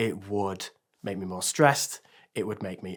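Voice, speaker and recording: A man with a Yorkshire accent and a fairly low pitch. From northern England, Sheffield. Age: 30s. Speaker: teacher sharing quit-smoking story. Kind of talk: testimony.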